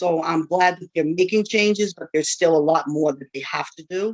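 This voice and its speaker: A woman speaks at a moderate pace with an American accent. Her pitch sits fairly low. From Worcester, Massachusetts, US. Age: 50s. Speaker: panelist, parent leader. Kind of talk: personal testimony. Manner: conversational, animated.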